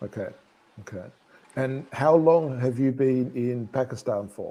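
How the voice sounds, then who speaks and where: In an Australian accent, a man speaks at a fairly slow pace with a dark, mellow tone, ordinary pitch variation and big swings in loudness. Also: medium pitch for a man. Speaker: English teacher. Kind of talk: conversation class. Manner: slow, clear.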